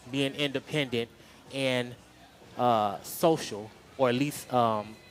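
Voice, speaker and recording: A man speaks at a very slow pace with a medium pitch. Music plays in the background. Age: 30s. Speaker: person sharing lived experience. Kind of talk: testimony.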